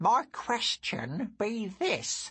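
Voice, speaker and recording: In a put-on character voice, the speaker talks at a very slow pace with very wide pitch swings. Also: man. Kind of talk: archaic speech. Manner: whispering.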